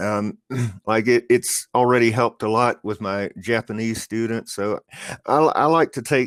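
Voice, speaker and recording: A man with a slight Southern US accent speaks at a fairly slow pace, his intonation fairly even. The very clean recording has a silent background and a dry, close sound with no echo. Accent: slight Southern US, mostly generic American. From US Southeast. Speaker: online English tutor. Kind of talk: casual chat. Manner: halting, many repetitions and fillers.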